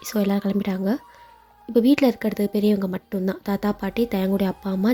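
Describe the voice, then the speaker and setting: An unremarkable speaking voice from a woman, pitched at a medium level, its intonation fairly even. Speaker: fan fiction narrator. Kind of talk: read story with character dialogue.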